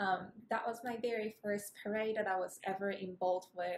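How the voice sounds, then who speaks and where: A woman speaks in a Japanese accent at a medium pitch. Her pace is moderate and her intonation fairly even. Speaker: ceili dancer. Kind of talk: personal anecdote.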